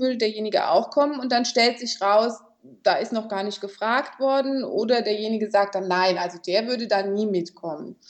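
This is a plain, everyday voice at a fairly quick pace. The pitch variation is ordinary. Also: woman. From Germany, Kaiserslautern (Palatinate). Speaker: mediator and conflict coach. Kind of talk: interview.

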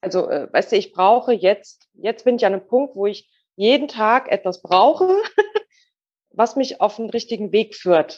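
A plain, everyday voice from a woman, fairly high in pitch, with ordinary pitch variation at a fairly slow pace. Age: 40s. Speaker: goldsmith. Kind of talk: interview.

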